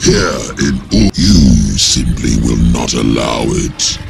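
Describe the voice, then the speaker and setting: A man puts on a cartoonish character voice. Clear background noise runs underneath. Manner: grave, cold, haughty.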